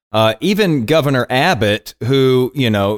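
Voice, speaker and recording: On a very clean recording with a silent background and a dry, close sound with no echo, a man speaks at medium pitch with lively intonation. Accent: Texan. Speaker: podcast host. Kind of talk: casual conversation.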